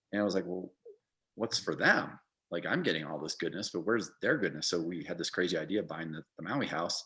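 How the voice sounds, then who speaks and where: Very deep and low in pitch yet bright and sharp in tone, a man talks at a very fast pace with ordinary pitch variation. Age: 60s. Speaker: restaurant founder. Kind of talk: interview. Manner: hesitant, many false starts.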